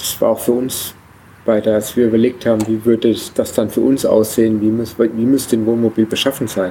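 A man's medium-pitched voice, fairly quick, with very even loudness and monotone, flat intonation. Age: 40s. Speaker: traveler starting a family world trip. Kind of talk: casual interview. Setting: event at a museum summer festival. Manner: hesitant, many filler sounds.

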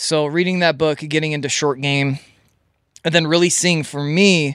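A man in an ordinary speaking voice, fairly high in pitch with ordinary pitch variation, at a fairly quick pace, in a very clean recording with a silent background. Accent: American. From Minnesota, US. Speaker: golf instructor. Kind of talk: casual chat.

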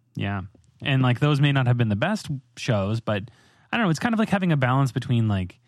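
A man talks fairly quickly on a very clean recording with a silent background. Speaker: podcast host, software developer. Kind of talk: casual tech podcast discussion and explanation. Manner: fast talker.

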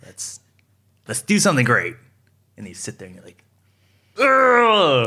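A man with an American accent, very wide pitch swings, big swings in loudness, and long, frequent pauses. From Southern California, San Gabriel Valley. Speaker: fashion photographer. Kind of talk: interview. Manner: casual, filler-heavy.

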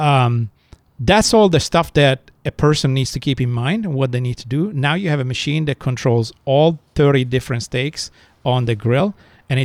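A man speaks with an Italian accent. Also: dry, close sound with no echo. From Italy, countryside. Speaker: restaurateur. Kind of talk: interview storytelling.

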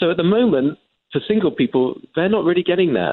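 With lively intonation, a man races along at a very fast pace. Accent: English. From England. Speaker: journalist. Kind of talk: interview.

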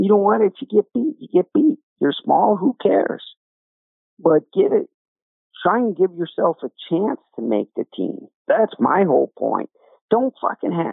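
A man with an American accent speaks at a moderate pace. He takes long, frequent pauses. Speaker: wrestling coach, former wrestler. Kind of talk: casual sports discussion. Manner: blunt, outspoken.

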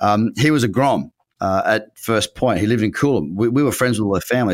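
An Australian accent from a man at medium pitch, lively intonation, and a very clean recording with a silent background. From Queensland, Australia (Noosa Heads). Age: 30s. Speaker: trader and trading educator. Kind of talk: interview conversation. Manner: talkative.

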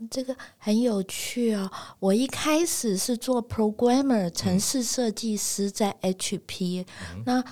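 On a very clean recording with a silent background, a woman speaks very slowly at a fairly high pitch, with ordinary pitch variation and a dark, mellow tone. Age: 60s. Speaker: retired professor and career counselor. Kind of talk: interview. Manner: hearty laughter.

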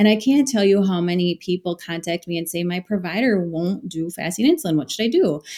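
An ordinary speaking voice from a woman at medium pitch, fairly quick in pace with hardly any pauses, ordinary pitch variation, and a dry, close sound with no echo. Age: 40s. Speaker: dietitian. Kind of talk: interview.

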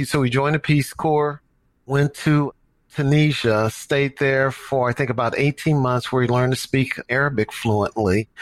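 In an American accent, a man with an ordinary speaking voice talks at medium pitch and a moderate pace with fairly even intonation, the recording very clean with a silent background and a dry, close sound with no echo. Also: very even loudness. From US Midwest, St. Louis. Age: 60s. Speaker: marathon coach and business executive. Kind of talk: interview.

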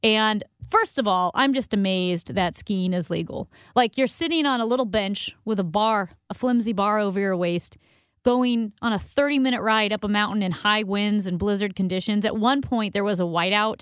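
A normal speaking voice comes at a moderate pace with ordinary pitch variation. The recording is very clean, with a silent background. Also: woman, medium pitch for a woman. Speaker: radio host. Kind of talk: casual chat.

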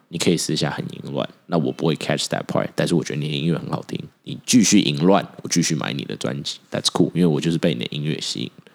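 The speaker talks at a very fast pace with hardly any pauses and ordinary pitch variation. Noticeable background noise runs underneath. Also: man, very deep, low pitch for a man. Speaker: podcast co-host. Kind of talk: casual chat. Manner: animated.

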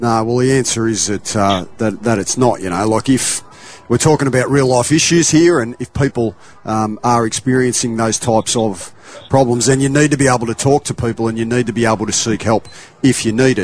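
With an Australian accent, a man speaks at a fairly quick pace, his medium pitch showing ordinary variation. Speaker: radio sports pundit. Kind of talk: radio discussion.

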